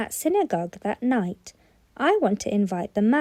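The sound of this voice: The clip carries an unforced reading voice.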